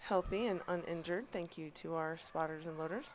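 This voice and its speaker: Fairly even intonation from a woman, with noticeable background noise behind her. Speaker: live sports commentator. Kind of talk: live commentary. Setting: live stream at powerlifting meet.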